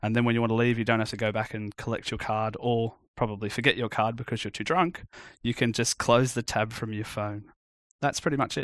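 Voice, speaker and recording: Speaking at a fairly quick pace with an Australian accent, a man holds a medium pitch and fairly even intonation. The recording is very clean with a silent background, dry and close with no echo. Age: 30s. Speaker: iOS developer. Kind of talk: casual chat.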